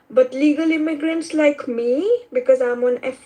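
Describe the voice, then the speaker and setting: Her intonation is lively and her pitch high. This woman speaks with an Indian accent. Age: 20s. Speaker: immigrant student caller. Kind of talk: casual chat.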